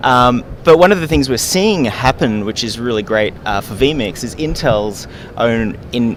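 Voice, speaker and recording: Over noticeable background noise, a man with an Australian accent speaks at a fairly slow pace in a medium pitch, his intonation lively. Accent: mild Australian. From Australia, Gold Coast, Queensland. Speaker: software company representative. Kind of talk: trade show interview. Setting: trade show floor.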